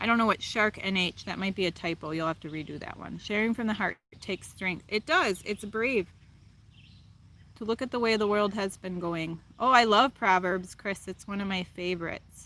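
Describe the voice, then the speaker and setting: On a very clean recording with a silent background, a woman with a Wisconsin accent talks at a moderate pace in a medium pitch, her bright, sharp tone showing ordinary pitch variation. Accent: Wisconsin, noticeable. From Wisconsin, US. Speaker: live streamer, spiritual chat host. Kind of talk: casual live-stream chat reading comments. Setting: outdoors, live stream.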